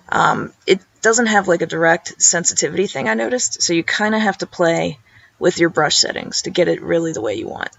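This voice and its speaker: Using vocal fry and very wide pitch swings, a woman talks at a fairly quick pace. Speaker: illustrator. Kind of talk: screen-recorded software tutorial. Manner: casual, informal.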